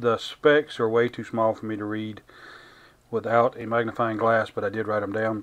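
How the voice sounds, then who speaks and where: Speaking at medium pitch, a man keeps his intonation flat and monotone. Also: moderate pace. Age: 50s. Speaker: YouTube product reviewer. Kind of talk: product review tutorial. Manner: halting, many filler words; casual, unscripted. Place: workshop.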